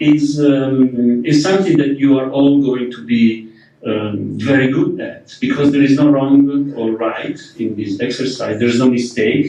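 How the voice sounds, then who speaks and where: Speaking at a fairly slow pace, a man with a non-native accent keeps his intonation fairly even. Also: medium pitch for a man. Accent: foreign. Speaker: architect and workshop leader. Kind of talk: lecture. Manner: hesitant, many fillers and repetitions.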